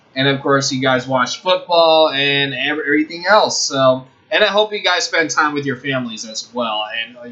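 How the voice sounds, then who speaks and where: At a moderate pace with hardly any pauses, a man with a fairly high-pitched voice swings widely in loudness over noticeable background noise. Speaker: sports show host. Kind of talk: casual sports talk show. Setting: online video show.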